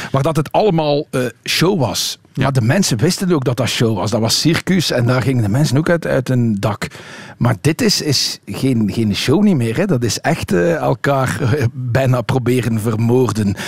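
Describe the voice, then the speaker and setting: A man speaks at a fairly slow pace with lively intonation and very even loudness over noticeable background noise. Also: medium pitch for a man, hardly any pauses. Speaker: cycling magazine editor. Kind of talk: radio panel discussion. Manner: hesitant with fillers.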